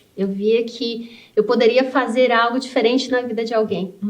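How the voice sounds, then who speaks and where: Audible room echo surrounds a woman's voice. She talks at a fairly high pitch with monotone, flat intonation. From Brazil, rural interior of Paraná. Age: 40s. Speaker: civil engineer and business owner. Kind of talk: interview.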